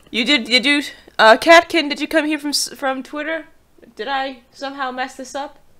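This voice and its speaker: A woman speaks in a raised, projected voice, high in pitch and bright, sharp in tone, at a moderate pace. Her intonation stays fairly even while her loudness swings widely. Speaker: streamer. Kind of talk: casual chat. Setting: live stream.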